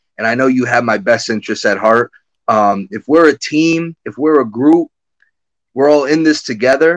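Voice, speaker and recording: A man speaks with an American accent at a medium pitch and ordinary pitch variation. The sound is dry and close, with no echo. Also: moderate pace. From Connecticut. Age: 30s. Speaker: former hockey general manager. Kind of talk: interview. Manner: halting.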